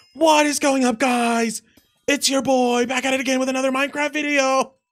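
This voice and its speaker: A man puts on a character voice at an extremely high pitch. He speaks at a fairly quick pace in a flat monotone. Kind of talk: casual. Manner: fake enthusiastic.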